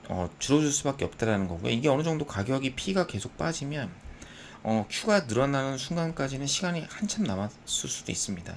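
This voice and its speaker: This man has a fairly high pitch. His voice moves through very wide pitch swings. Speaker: stock market analyst. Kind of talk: market commentary. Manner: halting with filler sounds.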